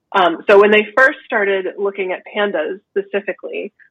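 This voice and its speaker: Here is a woman with an ordinary speaking voice. She speaks in a medium pitch at a fairly quick pace. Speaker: naturopathic doctor. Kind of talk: interview.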